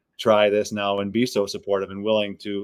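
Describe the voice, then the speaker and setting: Here a man speaks with an American accent. His pitch is fairly low and his pace fairly quick. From Wisconsin. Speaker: rock band vocalist. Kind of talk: interview. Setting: podcast.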